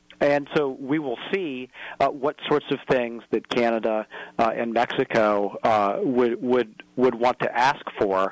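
An ordinary speaking voice from a man of medium pitch, fairly slow with ordinary pitch variation and a dry, close sound with no echo. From US Midwest, northern Indiana. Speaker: advocacy group president. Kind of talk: radio interview.

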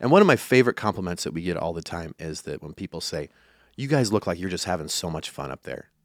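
A man with a Midwestern American accent speaks at a very fast pace with lively intonation, the sound dry and close with no echo on a very clean recording with a silent background. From rural western Iowa. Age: 40s. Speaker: country musician. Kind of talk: interview. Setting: studio.

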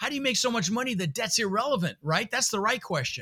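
Very fast and raised, this man's projected voice has an animated tone, lively intonation and a bright, sharp tone. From Netherlands, raised in Denver, Colorado. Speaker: real estate entrepreneur and coach. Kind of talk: interview conversation, storytelling. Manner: high-energy, animated.

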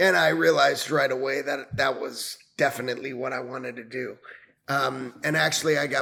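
Speaking with an American accent, a man has a bright, sharp tone. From New York area (Westchester). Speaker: venture capitalist, Army veteran. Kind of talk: casual interview.

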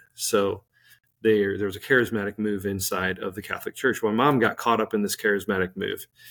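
The speech has a Midwestern American accent, a fairly quick pace and fairly even intonation. The recording is very clean with a silent background. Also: man, fairly low pitch for a man. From Saint Louis, Missouri. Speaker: musician. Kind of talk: testimony.

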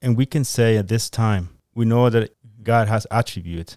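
Fairly slow speech with a Spanish accent and fairly even intonation comes through a dry, close sound with no echo on a very clean recording with a silent background. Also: man. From Guatemala. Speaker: church member. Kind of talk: Bible teaching discussion. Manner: halting, many fillers.

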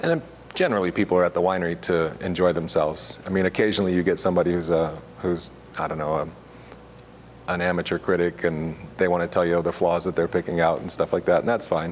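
With an American accent, this voice rushes along at a very fast pace in a monotone with flat intonation. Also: man, very deep, low pitch for a man. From US Midwest, Missouri. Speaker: winemaker and wine equipment salesperson. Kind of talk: oral history interview. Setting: library.

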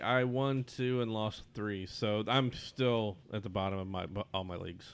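An ordinary speaking voice, a man's, moves at a fairly slow pace with fairly even intonation. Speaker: podcast co-host. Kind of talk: casual chat.

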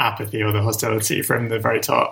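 With a London accent, a man speaks at a fairly low pitch in a bright, sharp tone. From London, England. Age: 30s. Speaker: novelist. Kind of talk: interview.

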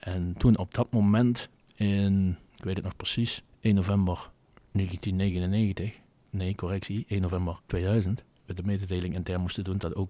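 With a Limburg accent, a man of very deep, low pitch speaks at a moderate pace with fairly even intonation on a very clean recording with a silent background. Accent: Limburg, soft g. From Netherlands, Venlo area (Limburg). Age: 50s. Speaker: retail company director. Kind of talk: interview.

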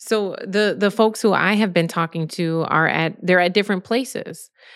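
This woman has a plain, everyday voice. Her pitch is fairly low. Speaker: independent journalist and co-host. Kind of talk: panel discussion on current events.

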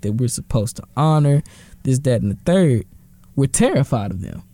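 A man with an American accent, medium pitch, a somewhat breathy, dark, mellow tone and lively intonation, at a fairly quick pace. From Texas, Dallas (Oak Cliff). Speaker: student organization president. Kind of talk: casual interview.

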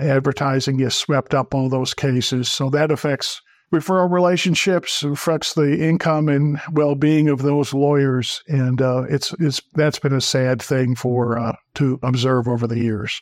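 A man with an unremarkable speaking voice and an American accent, fairly high pitch, fairly even intonation and very even loudness, at a fairly slow pace with hardly any pauses, on a very clean recording with a silent background. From northern Wisconsin. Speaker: plaintiff's attorney. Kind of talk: podcast interview.

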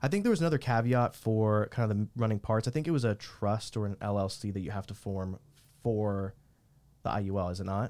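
Speaking at a fairly quick pace, a man with a plain, everyday voice has a fairly low pitch and ordinary pitch variation. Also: very clean recording, silent background. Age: 30s. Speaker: podcast host. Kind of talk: casual interview.

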